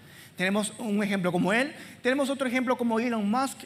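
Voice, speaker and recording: Pitch varies in an ordinary way as the speech keeps a moderate pace. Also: woman. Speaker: preacher. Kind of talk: sermon. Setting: church with congregation.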